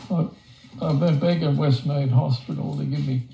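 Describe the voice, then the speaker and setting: Noticeable background noise runs behind a man with a medium pitch. His voice makes very wide pitch swings. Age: 60s. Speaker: palliative patient. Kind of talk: casual chat. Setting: at home. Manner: halting, repeats words.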